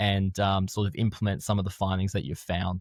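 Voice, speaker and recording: A man at a fairly quick pace with an Australian accent, on a very clean recording with a silent background and a dry, close sound with no echo. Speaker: strength and conditioning coach. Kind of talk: podcast interview.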